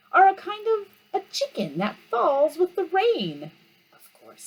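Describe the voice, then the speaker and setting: An extremely high, put-on character voice speaks at a fairly slow pace. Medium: read story. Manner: pompous, know-it-all.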